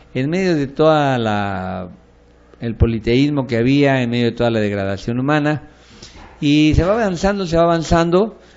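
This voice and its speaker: A man with a fairly high pitch speaks at a moderate pace, his pitch swinging very widely. The room echo is audible. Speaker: pastor teaching a bible course. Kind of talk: lecture.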